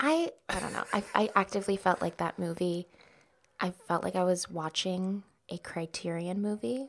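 This is a woman with an American accent and a normal speaking voice. She talks at a moderate pace with ordinary pitch variation. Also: medium pitch for a woman. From Dallas, Texas. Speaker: actor and comedian. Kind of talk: casual chat.

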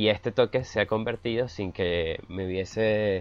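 The man has an unremarkable speaking voice at a fairly low pitch. He speaks fairly slowly with fairly even intonation. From Venezuela. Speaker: podcast co-host, blogger. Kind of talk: casual chat.

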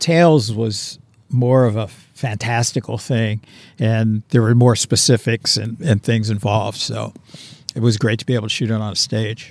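A normal speaking voice moves at a moderate pace with fairly even intonation. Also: man, medium pitch for a man. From Pittsburgh, Pennsylvania. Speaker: film director. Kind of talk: casual interview. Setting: outdoors on location.

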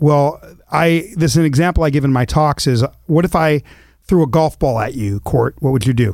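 Here is a man with an ordinary speaking voice, fairly high in pitch. He talks at a fairly quick pace with ordinary pitch variation. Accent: American. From US West Coast (Los Angeles, then Eugene, Oregon). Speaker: author and speaker. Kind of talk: interview conversation. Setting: studio.

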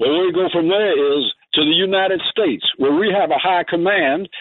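Against noticeable background noise, a man with an American accent speaks fairly quickly at a high pitch, using ordinary pitch variation. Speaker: caller. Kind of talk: political commentary on call-in radio.

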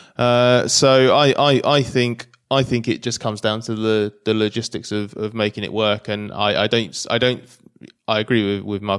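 A man's fairly low-pitched voice with a British accent and fairly even intonation, on a very clean recording with a silent background. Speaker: motorsport journalist. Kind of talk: casual chat. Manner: halting.

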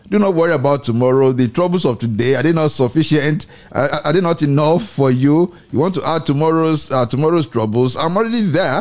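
Fairly high in pitch with lively intonation, a man talks at a fairly quick pace in an unremarkable speaking voice, his loudness very even. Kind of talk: devotional radio talk and preaching. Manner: fervent, exhortative.

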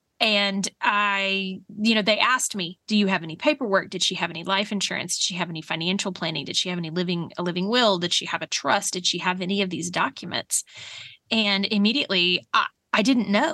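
With an American accent and a bright, sharp tone, a woman speaks at medium pitch and a fairly quick pace with ordinary pitch variation, in a dry, close sound with no echo over a quiet background. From Oklahoma. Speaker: podcast host. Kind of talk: casual chat.

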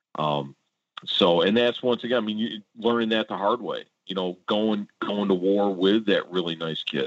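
With a Midwestern American accent, a man of fairly low pitch speaks at a moderate pace with ordinary pitch variation. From Warren, Michigan (Detroit suburb). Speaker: high school football coach. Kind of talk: interview. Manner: hesitant with fillers.

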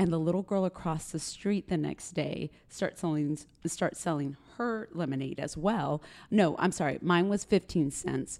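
At a moderate pace, a woman with an American accent speaks in an animated tone at a fairly low pitch, with ordinary pitch variation, on a very clean recording with a silent background. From Texas (West Texas, Granbury near Fort Worth). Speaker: public relations executive at a fashion retailer. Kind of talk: casual interview chat. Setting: hotel, recorded on location.

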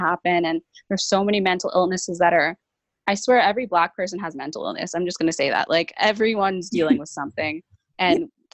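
A woman with a Canadian accent, fairly low in pitch, at a very fast pace, in a dry, close sound with no echo. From Brampton, Ontario, Canada. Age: 20s. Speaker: guest, youth organization worker. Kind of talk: casual chat. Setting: video call.

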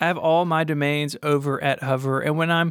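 A man with an American accent speaks in a normal speaking voice at a fairly high pitch and moderate pace. The recording is very clean, with a silent background. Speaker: podcast host. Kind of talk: casual chat.

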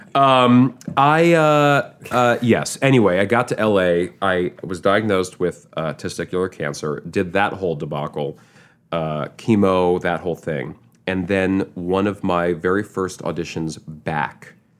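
On a very clean recording with a silent background, a man talks in an American accent at a very deep, low pitch. He moves at a fairly slow pace with lively intonation. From Manhattan, New York. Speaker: actor. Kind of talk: casual interview chat.

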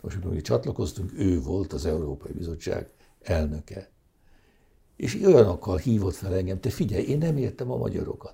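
This man's very deep, low voice has a dark, mellow tone with vocal fry, and his pitch swings very widely. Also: moderate pace. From Hungary. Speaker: economist. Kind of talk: interview.

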